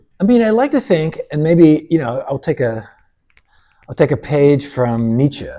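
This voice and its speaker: A somewhat breathy man with a dark, mellow tone against a quiet background. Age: 70s. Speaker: painter. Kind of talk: casual chat.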